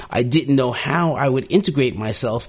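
A man talks in a normal speaking voice at a moderate pace, with lively intonation. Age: 60s. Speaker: podcast host. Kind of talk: solo podcast monologue.

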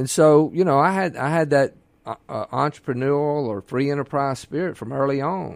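At a moderate pace, a man with a Mississippi accent speaks in a fairly high pitch with ordinary pitch variation. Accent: Mississippi Southern US. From Mississippi Gulf Coast. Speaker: physician and governor candidate. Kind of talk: radio interview. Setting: radio studio.

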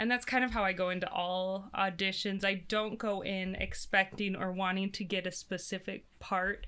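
Bright, sharp female voice at medium pitch with fairly even intonation. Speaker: stage actor. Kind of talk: casual interview.

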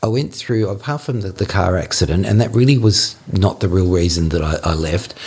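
With an Australian accent, a man talks at a fairly quick pace with hardly any pauses, a fairly low pitch, and lively intonation over noticeable background noise. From Australia, Melbourne. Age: 50s. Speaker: interviewee sharing life story. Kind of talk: personal storytelling interview. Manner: halting.

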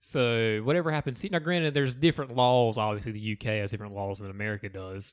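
In a very clean recording with a silent background, a man with a strong Southern accent talks very fast at a medium pitch with ordinary pitch variation. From US South. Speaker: podcast co-host. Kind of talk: casual chat.

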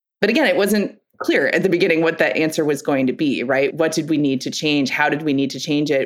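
A woman talks very fast at a very deep, low pitch with ordinary pitch variation. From Connecticut, US Northeast. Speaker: news editor. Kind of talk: interview.

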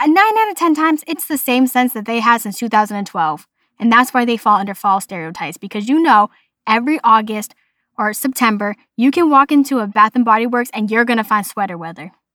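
A woman with a Boston accent talks at a fairly quick pace in a fairly high pitch, her tone animated, bright and sharp, her intonation lively. The recording is very clean, with a silent background and a dry, close sound with no echo. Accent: Boston, noticeable. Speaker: podcast host. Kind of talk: casual solo podcast monologue. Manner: animated, chatty.

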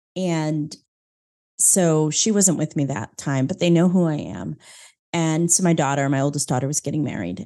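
A woman's very deep, low voice in an American accent, dark and mellow in tone, with ordinary pitch variation at a moderate pace over a quiet background. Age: 50s. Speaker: business coach and former minister. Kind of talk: interview.

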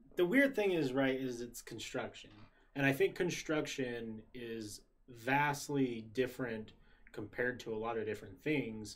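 A man with an unremarkable speaking voice and an American accent talks at a fairly slow pace, with a medium pitch and ordinary pitch variation. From Utah, US. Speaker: podcast host. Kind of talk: casual chat. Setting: live stream.

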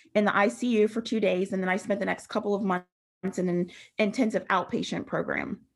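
In an American accent, a woman with an ordinary speaking voice talks at a fairly quick pace and medium pitch with fairly even intonation. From Western Pennsylvania, rural. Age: 30s. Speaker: peer recovery specialist. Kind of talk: testimony. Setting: video call.

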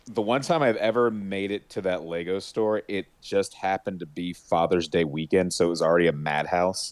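A man talks at a moderate pace with a very deep, low pitch. He barely pauses, and his pitch varies in an ordinary way. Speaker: podcast co-host. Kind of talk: casual chat.

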